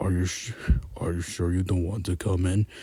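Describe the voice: Putting on a character voice, a man booms at a very deep, low pitch in a monotone, flat delivery at a fairly quick pace.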